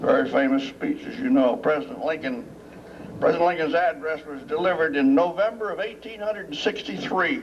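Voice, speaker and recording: Amid noticeable background noise, a man with a high pitch speaks with very wide pitch swings. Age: 80s+. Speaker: war veteran, retired military pilot, ceremony speaker. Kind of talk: public speech at memorial dedication. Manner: halting, many fillers.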